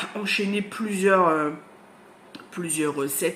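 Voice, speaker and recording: A woman talks very slowly, with noticeable background noise around her. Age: 40s. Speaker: book vlogger. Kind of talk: casual vlog chat. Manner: hesitant, many fillers.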